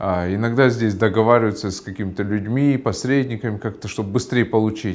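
A man's fairly low voice at a fairly quick pace with hardly any pauses. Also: fairly even intonation. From Kyrgyzstan. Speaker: member of parliament. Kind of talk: explanatory monologue; interview answer. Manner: halting. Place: office. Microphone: lapel.

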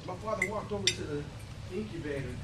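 A man talks at a fairly quick pace. Loud background noise sits behind him. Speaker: motivational speaker. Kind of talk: Toastmasters club speech, storytelling. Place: hall. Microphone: camera far.

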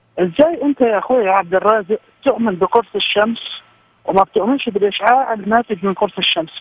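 Light background noise runs under the voice. The sound is dry, with no echo. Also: man, high pitch for a man, ordinary pitch variation, moderate pace. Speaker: guest. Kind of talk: religious debate explanation. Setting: phone call. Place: studio.

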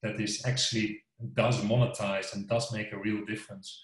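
Over a quiet background with audible room echo, a somewhat breathy voice speaks at a moderate pace in a monotone, flat intonation. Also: man. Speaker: company sales executive. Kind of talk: interview answer. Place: home room. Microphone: video call.

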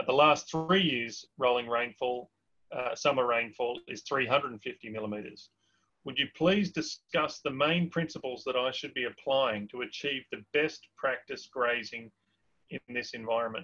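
A man's bright, sharp voice in an Australian accent, fairly slow, with ordinary pitch variation over a quiet background. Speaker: webinar host. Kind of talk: Q&A moderation. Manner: hesitant, many fillers. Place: home room. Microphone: webcam.

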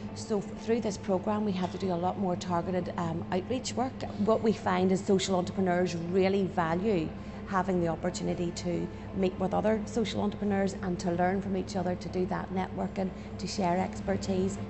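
A woman speaks at a fairly quick pace over noticeable background noise. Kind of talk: interview answer. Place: cafe.

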